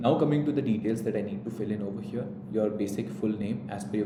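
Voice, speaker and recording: A man with an Indian accent and a fairly low pitch talks at a very fast pace, with ordinary pitch variation and audible room echo. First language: Hindi. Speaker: entrance exam coach. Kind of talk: tutorial.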